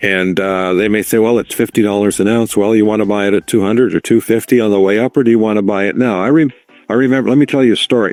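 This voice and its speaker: At a very fast pace, a man with a fairly low voice keeps fairly even intonation and very even loudness. The sound is dry and close with no echo. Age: 70s. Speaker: precious metals commentator. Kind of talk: interview. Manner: halting.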